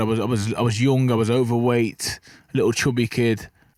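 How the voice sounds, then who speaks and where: A man with an English Midlands accent speaks at medium pitch and a fairly quick pace. The recording is very clean, with a silent background. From English Midlands, Burton-on-Trent. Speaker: professional boxer. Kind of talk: podcast interview. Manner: fast, some stutter.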